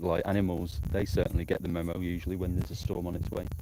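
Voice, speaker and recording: A man's very deep voice in a northern English accent, with fairly even intonation. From northern England, Blackpool. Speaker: amateur storm chaser livestreamer. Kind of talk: live outdoor commentary. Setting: outdoors in the countryside. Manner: casual, hesitant with fillers.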